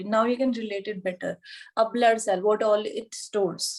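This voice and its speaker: With an Indian accent, a woman speaks at a fairly slow pace. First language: Hindi. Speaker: yoga anatomy teacher. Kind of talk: online lecture.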